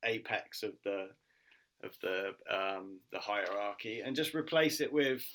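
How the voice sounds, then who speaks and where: Very slowly and with a British accent, a man speaks in a bright, sharp tone with ordinary pitch variation on a very clean recording with a silent background. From UK. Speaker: martial artist and social worker. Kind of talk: interview answer.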